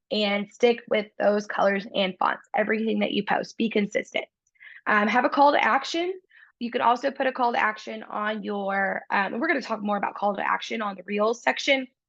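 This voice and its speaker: A woman speaks in a plain, everyday voice at a fairly quick pace. Her pitch is fairly high with ordinary pitch variation, over a quiet background. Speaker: real estate coach. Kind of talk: online training webinar.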